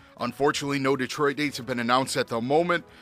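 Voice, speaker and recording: An upbeat, energetic man with an American accent at a medium pitch, music playing in the background. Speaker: radio DJ. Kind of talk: rock radio DJ demo.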